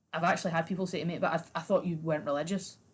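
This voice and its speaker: A somewhat breathy woman with a Scottish accent, at a very fast pace. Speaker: comedy podcast host. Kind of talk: casual chat.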